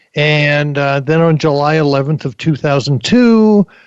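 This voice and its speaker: A man with a plain, everyday voice speaks at a moderate pace. His pitch sits fairly high. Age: 60s. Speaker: career coach and author. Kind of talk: interview.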